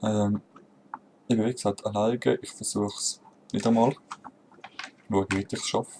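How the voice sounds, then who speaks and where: Speaking at a moderate pace with a Swiss accent, a man uses a fairly low pitch and fairly even intonation, leaving long, frequent pauses. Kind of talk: casual gameplay commentary.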